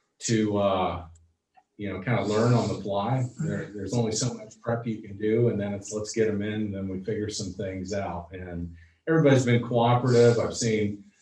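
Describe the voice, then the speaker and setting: A man with a fairly low-pitched voice speaks amid audible room echo. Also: ordinary pitch variation, moderate pace. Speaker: school superintendent. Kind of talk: board meeting report. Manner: loud; halting, many fillers.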